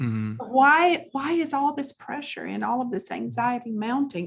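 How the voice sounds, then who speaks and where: A woman speaks in a Southern US accent. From US South, South Carolina. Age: 50s. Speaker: pastor and author. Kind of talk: interview testimony.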